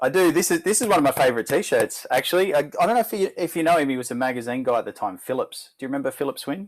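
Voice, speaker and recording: Speaking with an Australian accent, a man goes at a very fast pace. His voice is fairly high for a man and swings very widely in pitch. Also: hardly any pauses. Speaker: former car magazine editor. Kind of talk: casual chat.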